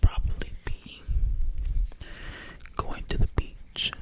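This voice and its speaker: Over noticeable background noise, a whisper moves along at a very slow pace. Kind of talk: ASMR casual talk to camera. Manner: whispered.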